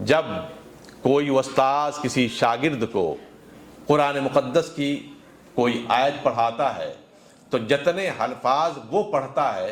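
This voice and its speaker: Ordinary pitch variation marks this man's speech, delivered in a plain, everyday voice. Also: fairly high pitch for a man. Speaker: Islamic scholar and preacher (mufti). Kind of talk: Islamic sermon (religious speech to a congregation).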